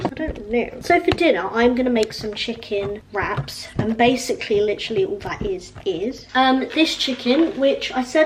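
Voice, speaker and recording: Over noticeable background noise, a woman with a high-pitched voice speaks with lively intonation. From Hampshire, England. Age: 20s. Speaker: student YouTuber. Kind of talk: casual talk to camera.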